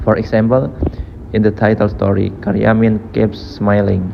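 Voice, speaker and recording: A man talks at a fairly low pitch with a non-native accent. Noticeable background noise runs behind him. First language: not English. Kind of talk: IELTS speaking practice answer.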